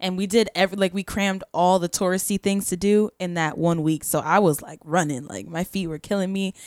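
A woman with an American accent and an unremarkable speaking voice talks at a fairly quick pace with hardly any pauses, her medium pitch held to fairly even intonation while her loudness swings widely. The recording is very clean with a silent background and a dry, close sound with no echo. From Florida (Poinciana). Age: 20s. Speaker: singer. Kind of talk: casual chat. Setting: studio.

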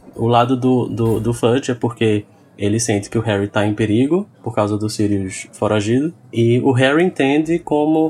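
Moderate pace with ordinary pitch variation. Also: man. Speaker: podcast guest, website colleague. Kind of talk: casual chat. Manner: halting, many repetitions.

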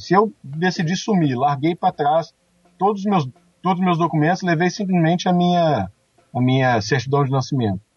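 A fairly high pitch marks this man's voice. He speaks with lively intonation. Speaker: police investigator. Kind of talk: casual chat.

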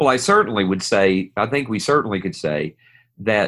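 A man speaks with an Appalachian accent. His pitch sits fairly low. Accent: Appalachian Southern US. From US South, East Tennessee. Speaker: pastor. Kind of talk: podcast discussion.

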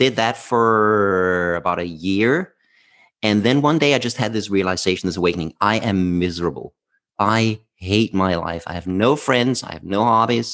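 A man with a Danish accent, fairly low in pitch, with ordinary pitch variation at a moderate pace against a quiet background. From southern Denmark. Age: 50s. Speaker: former workplace happiness speaker. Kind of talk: casual interview.

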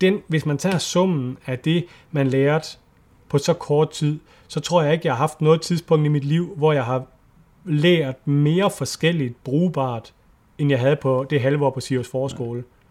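At a fairly slow pace, a man with a normal speaking voice and fairly high pitch talks with fairly even intonation. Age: 40s. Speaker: nature photographer and adventurer. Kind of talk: casual interview chat. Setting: Skype call.

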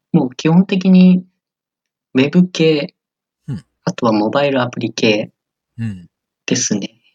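A man with a fairly high voice speaks at a fairly slow pace, his intonation lively. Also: dry, close sound with no echo. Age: 20s. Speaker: software engineer. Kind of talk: interview. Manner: hesitant, many fillers.

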